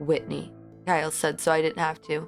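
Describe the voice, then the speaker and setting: A woman talks at a fairly quick pace. Music is audible in the background. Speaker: audiobook narrator. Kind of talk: horror audiobook reading. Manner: emotional, acted dialogue.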